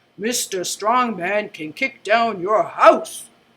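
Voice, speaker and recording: Here is a put-on character voice with a fairly high pitch. It goes at a very slow pace. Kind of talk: announcer voice.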